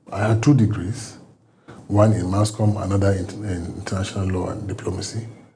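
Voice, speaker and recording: There is audible room echo around this voice. A man talks at a moderate pace. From Nigeria. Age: 60s. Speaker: former government agency head. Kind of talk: TV interview.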